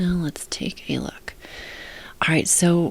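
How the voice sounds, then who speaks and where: A soft-spoken woman talks at a very slow pace. Her pitch is very deep and low. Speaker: book editor. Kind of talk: tutorial.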